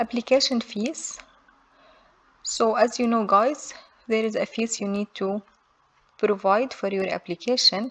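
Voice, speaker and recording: Speech with a non-native accent comes at a fairly slow pace with long, frequent pauses and fairly even intonation, in a dry, close sound with no echo. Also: woman, fairly high pitch for a woman. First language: not English. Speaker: immigration how-to youtuber. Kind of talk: tutorial. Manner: reads form text aloud.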